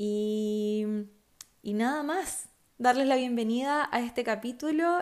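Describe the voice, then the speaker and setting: At a very slow pace and fairly high pitch, a woman speaks in a very clean recording with a silent background. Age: 20s. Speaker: podcast host, architecture student. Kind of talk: casual personal podcast monologue.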